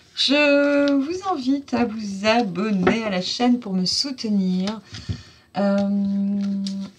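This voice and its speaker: A woman speaks very slowly at a fairly high pitch, her intonation lively, with noticeable background noise behind her. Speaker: oracle card reader. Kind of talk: channel outro of a card reading. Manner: warm, enthusiastic.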